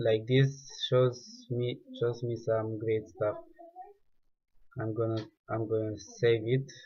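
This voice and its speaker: A man's somewhat breathy, dark, mellow voice of medium pitch, with a non-native accent, monotone, flat intonation, a very slow pace and long, frequent pauses. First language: not English. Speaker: 3D artist. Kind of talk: tutorial. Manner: halting.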